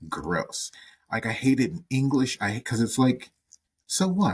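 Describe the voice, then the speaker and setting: Vocal fry and very wide pitch swings run through a man's medium-pitched voice in an American accent, fairly slow in pace, the sound dry and close with no echo. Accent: Southern US, comes and goes. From US South. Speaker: podcast co-host. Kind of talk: casual chat. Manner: animated.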